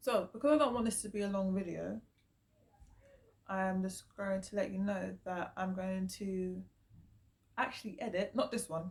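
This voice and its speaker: A woman with a British accent, medium pitch, ordinary pitch variation and a moderate pace broken by long, frequent pauses. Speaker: vlogger. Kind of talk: casual vlog monologue.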